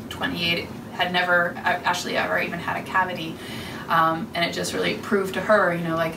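A woman speaks with monotone, flat intonation. Noticeable background noise runs underneath. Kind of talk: presentation talk to small audience. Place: office. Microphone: camera far.

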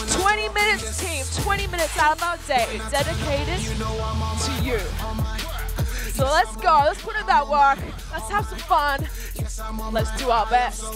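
Over clear music in the background, a woman speaks at a fairly slow pace with long, frequent pauses, the sound dry with no echo. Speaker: fitness coach. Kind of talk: workout class instruction. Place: gym. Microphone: headset.

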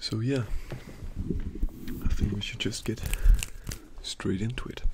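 Noticeable background noise runs under the man's fairly slow speech. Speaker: ASMR creator. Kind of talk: ASMR soft-spoken talk between mouth sounds. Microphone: studio mic.

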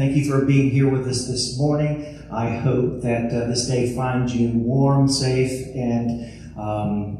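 A man speaks at a fairly slow pace with fairly even intonation. Strong room echo surrounds him, and light background noise sits underneath. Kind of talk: church welcome and scripture reading. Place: church.

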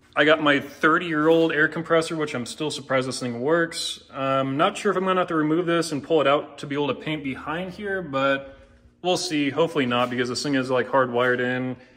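Speaking at a fairly quick pace with hardly any pauses, a man keeps ordinary pitch variation. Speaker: garage owner vlogger. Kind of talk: casual vlog chat. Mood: relaxed, lightly joking. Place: garage. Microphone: phone near.

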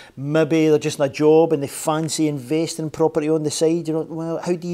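The tone here is dark and mellow. A man talks at a fairly quick pace. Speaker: show host. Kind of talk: interview show introduction. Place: studio.

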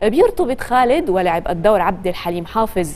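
This is a woman speaking. Her pitch makes very wide swings. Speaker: TV presenter. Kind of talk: news segment narration. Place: studio. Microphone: lapel.

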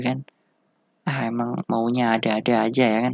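A man's voice, dry and close with no echo. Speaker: tech reviewer. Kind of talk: casual product review, unscripted. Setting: home recording with camera. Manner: casual, rambling, informal slang.

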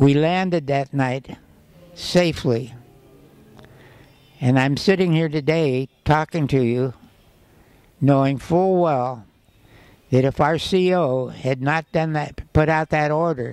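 Against a quiet background, a man speaks at a very slow pace with long, frequent pauses. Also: ordinary pitch variation, dry sound with no echo. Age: 80s+. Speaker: war veteran; former co-pilot. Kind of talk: interview answer. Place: hall. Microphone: handheld.

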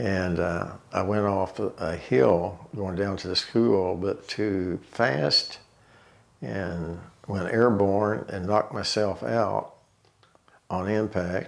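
With an Ozark accent, a man speaks at a very slow pace in a very deep, low pitch with ordinary pitch variation. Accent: Ozarks Arkansas. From Tontitown, Arkansas. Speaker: oral history interviewee. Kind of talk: oral history interview, reminiscing life story. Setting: interview, sitting at home. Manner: slow, reflective; halting, with fillers and repeats. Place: home room.

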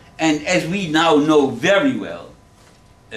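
A man talks with a German accent. Room echo can be heard around his voice. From Germany. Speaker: Holocaust survivor and author. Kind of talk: public lecture. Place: classroom. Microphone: camera far.

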